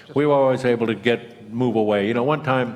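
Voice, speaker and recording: With audible room echo, a man talks at a moderate pace using ordinary pitch variation. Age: 70s. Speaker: retired career criminal telling his stories. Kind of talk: storytelling at a public talk. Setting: stage with audience. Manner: halting, many repeated words and fillers.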